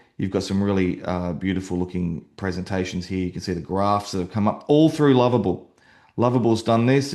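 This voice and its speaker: Fairly quick speech in an Australian accent, with ordinary pitch variation. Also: man. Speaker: real estate agent and website builder. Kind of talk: software demo tutorial. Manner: fast; hesitant, many fillers.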